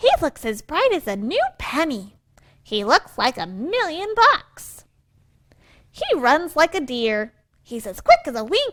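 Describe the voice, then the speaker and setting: Swinging very widely in pitch, a put-on character voice moves at a fairly slow pace. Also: woman, high pitch for a woman. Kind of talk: picture-book read-aloud. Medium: read story.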